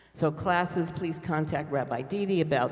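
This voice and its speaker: A man's fairly high voice with audible room echo. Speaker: congregation lay leader. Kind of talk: congregational announcements. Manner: chatty, informal.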